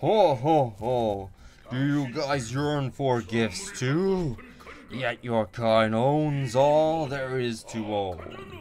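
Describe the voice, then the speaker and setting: A man puts on a booming character voice at medium pitch, speaking very slowly over clear background noise. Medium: solo performance. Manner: grandiose, booming laughter.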